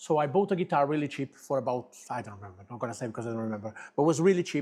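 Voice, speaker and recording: This voice carries a Portuguese accent on a very clean recording with a silent background. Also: man. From Portugal, Lisbon. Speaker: guitar business owner and musician. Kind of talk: interview. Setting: studio.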